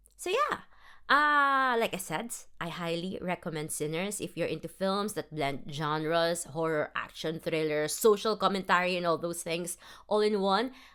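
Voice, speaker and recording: In a very clean recording with a silent background, a woman with a Filipino accent speaks at a moderate pace, her fairly low, bright and sharp voice carrying lively intonation. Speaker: film review podcaster. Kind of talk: casual solo review. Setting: self-recorded podcast. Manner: casual, with fillers and restarts.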